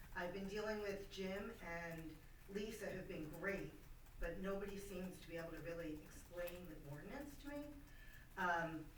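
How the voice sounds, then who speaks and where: A woman talks at a moderate pace with ordinary pitch variation. Audible room echo and noticeable background noise come through. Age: 60s. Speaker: resident making public comment. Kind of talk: public comment at a meeting. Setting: township board meeting room. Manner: loud; halting.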